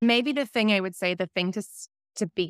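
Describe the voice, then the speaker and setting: A woman with a New Zealand accent speaks with ordinary pitch variation. The recording is very clean with a silent background and a dry, close sound with no echo. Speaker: climate advertising campaigner. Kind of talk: casual interview. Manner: animated, casual.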